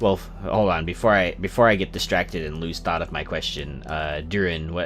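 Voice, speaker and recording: Very deep and low, a man's voice moves with lively intonation at a moderate pace. Noticeable background noise runs behind it. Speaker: video game streamer. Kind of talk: casual livestream commentary. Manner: halting, many fillers and repeats.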